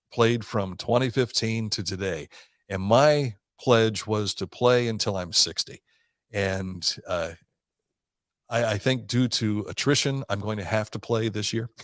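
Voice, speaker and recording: A man with an Ohio accent talks at a fairly slow pace and a medium pitch, with ordinary pitch variation. The sound is dry and close with no echo, in a very clean recording with a silent background. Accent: Midwestern American (Ohio). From southern Ohio. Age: 60s. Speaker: radio host. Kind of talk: casual interview chat.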